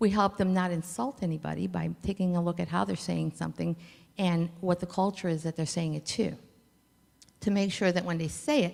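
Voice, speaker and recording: Ordinary pitch variation and a fairly quick pace mark this voice with a Spanish accent. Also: woman, fairly low pitch for a woman. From Cleveland, Ohio, US (Puerto Rican family). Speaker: logistics company founder. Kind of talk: conference talk.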